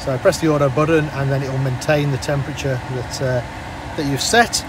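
Over noticeable background noise, a man talks at a fairly quick pace. The sound is dry, with no echo. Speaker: car salesman. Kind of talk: car walkaround presentation. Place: car. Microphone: phone near.

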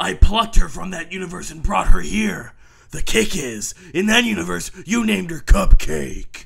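A raspy, cartoonish character voice from a man, high-pitched, at a moderate pace. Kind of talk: comic superhero pastiche. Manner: heroic, self-assured, chipper.

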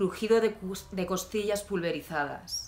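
Light background noise sits behind a woman speaking at a very slow pace. Her tone is intense and dramatic. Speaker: poet. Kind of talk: poem reading. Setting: video channel, self-recorded. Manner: intense, dramatic, deliberate delivery; conversational, wry tone in intros. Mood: calm, somber, intimate. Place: home room. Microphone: phone near.

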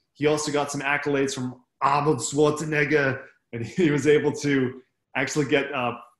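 Against a quiet background with audible room echo, a man speaks at a moderate pace in a fairly high pitch and a monotone, flat intonation. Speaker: army veteran and MS patient speaker. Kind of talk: talk to a club meeting. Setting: video call. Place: home room. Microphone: webcam.

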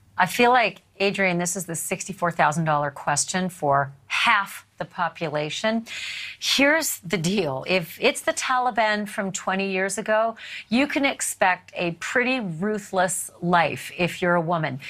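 With a bright, sharp tone, a woman speaks at a fairly slow pace. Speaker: television news host. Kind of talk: news interview. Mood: earnest, grave. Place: studio.

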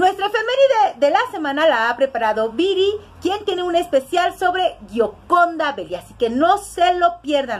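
A woman's extremely high voice with very wide pitch swings, a moderate pace and hardly any pauses. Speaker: show host. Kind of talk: show introduction. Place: home room. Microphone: webcam.

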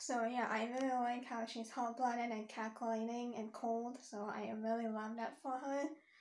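Speaking at a moderate pace with hardly any pauses, a woman keeps a monotone, flat intonation at a fairly high pitch. Room echo is audible. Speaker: booktuber; book vlogger. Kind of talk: casual book review. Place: home room. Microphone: webcam.

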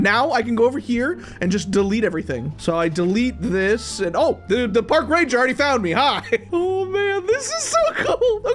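Music plays behind a man whose pitch is extremely high. His pitch swings very widely. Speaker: gaming video host. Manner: energetic, excited.

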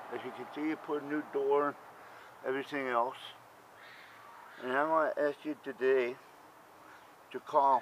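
Over light background noise, a man talks at a moderate pace with long, frequent pauses. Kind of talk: casual vlog chat. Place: street. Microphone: phone near.

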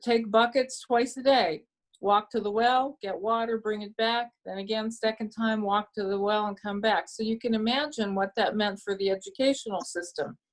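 With a Pittsburgh accent, a woman speaks at a fairly high pitch and moderate pace, her intonation fairly even and her speech having hardly any pauses. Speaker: Rotary speaker. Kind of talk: Q&A talk at club meeting.

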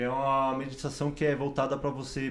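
A man at a moderate pace. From São Paulo, Brazil. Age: 20s. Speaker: medical student; interview guest. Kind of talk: interview. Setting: studio. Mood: reflective, personal story. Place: studio. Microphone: studio mic.

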